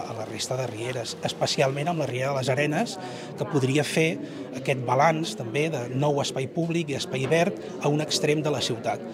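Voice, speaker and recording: A man with ordinary pitch variation over loud background noise. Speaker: geography lecturer. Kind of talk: interview answer. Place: classroom.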